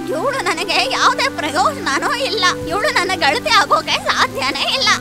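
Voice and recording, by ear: A woman's cartoonish character voice, extremely high in pitch and full of big pitch swings, over clear music in the background. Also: moderate pace.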